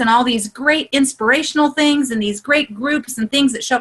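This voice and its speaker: A woman's high-pitched voice in an animated tone, with ordinary pitch variation. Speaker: online group coach. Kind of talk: live video call workshop.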